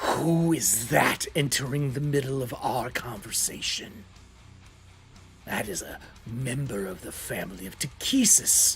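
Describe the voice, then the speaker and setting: In a put-on character voice with a hissing quality, a man of medium pitch speaks at a fairly slow pace over clear background noise. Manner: suspicious, imperious.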